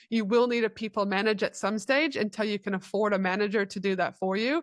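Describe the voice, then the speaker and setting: In a very clean recording with a silent background and a dry, close sound with no echo, a woman speaks at a fairly quick pace with fairly even intonation. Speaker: business mentor and speaker. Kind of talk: interview. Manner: fast.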